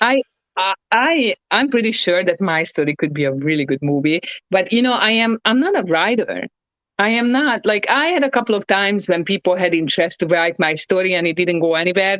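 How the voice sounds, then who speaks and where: A woman's voice, an unremarkable speaking voice, sits at medium pitch with lively intonation. She moves at a fairly quick pace with very even loudness. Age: 30s. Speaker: ex professional wrestler. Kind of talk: casual chat.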